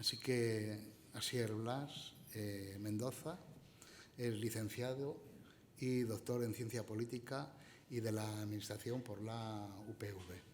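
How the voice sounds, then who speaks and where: Soft-spoken and very slow, a man of medium pitch talks with fairly even intonation amid audible room echo and noticeable background noise. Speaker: event moderator introducing a speaker. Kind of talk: speaker introduction at a conference.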